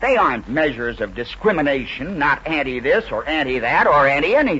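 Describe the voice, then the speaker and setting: The speech moves at a fairly quick pace with lively intonation. It is delivered in an American accent. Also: man, fairly high pitch for a man. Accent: mid-century American broadcast English. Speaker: radio commentator and author. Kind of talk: radio speech, political commentary.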